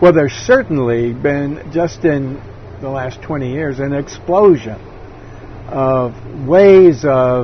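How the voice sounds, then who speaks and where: A man talks at a fairly slow pace with lively intonation and a fairly high pitch. Noticeable background noise runs behind him. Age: 70s. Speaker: interviewee. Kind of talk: interview. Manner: halting; gentle.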